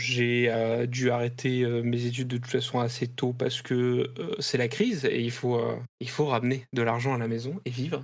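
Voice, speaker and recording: A man talks at a moderate pace and a medium pitch. His intonation is fairly even. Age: 30s. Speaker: IT support worker and video game writer. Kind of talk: interview testimony. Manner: hesitant, many fillers.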